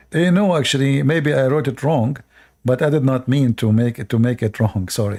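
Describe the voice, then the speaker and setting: A man's dark, mellow voice at medium pitch, with a non-native accent, ordinary pitch variation and a moderate pace, on a very clean recording with a silent background. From Middle East. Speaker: live streamer. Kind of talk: live stream commentary. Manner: hesitant, many fillers.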